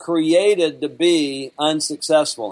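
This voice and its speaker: A man with a Southern US accent. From Alabama. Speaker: business trainer and author. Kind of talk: interview conversation.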